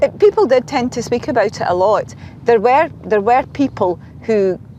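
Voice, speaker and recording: A woman with a Scottish accent and lively intonation, amid noticeable background noise. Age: 60s. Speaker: retired health worker interviewee. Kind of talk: interview. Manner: halting, repeats words.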